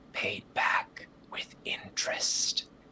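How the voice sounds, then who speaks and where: This is a put-on character voice with a raspy quality. Light background noise sits underneath. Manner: cold, vengeful.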